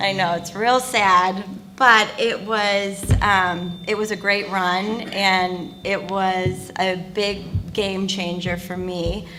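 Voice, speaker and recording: Woman's voice, monotone and flat, at a very slow pace with hardly any pauses, in audible room echo. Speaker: TV integration executive. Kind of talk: panel introduction.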